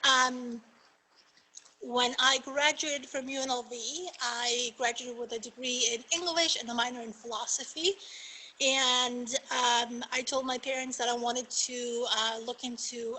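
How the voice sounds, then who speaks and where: With a Spanish accent, a woman speaks at a moderate pace in a high pitch, her intonation fairly even. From Argentina. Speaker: magistrate judge. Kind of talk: panel talk.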